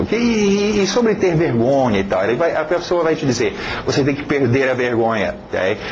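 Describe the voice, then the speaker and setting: Amid noticeable background noise and audible room echo, a man speaks fairly quickly with lively intonation. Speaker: English teacher. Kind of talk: online lesson. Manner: hesitant, with filler words.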